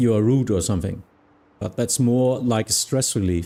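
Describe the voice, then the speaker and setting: Speaking in a German accent, a man has a dark, mellow tone at medium pitch with ordinary pitch variation. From Germany. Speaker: flight simulation streamer and virtual air traffic controller. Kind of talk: casual livestream chat. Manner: halting, with frequent fillers.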